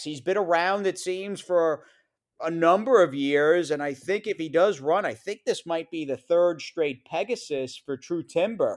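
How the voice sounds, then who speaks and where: The recording is spotless, with total silence behind the voice. It belongs to a man with an American accent. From New York. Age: 40s. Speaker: horse racing broadcaster. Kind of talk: casual interview chat.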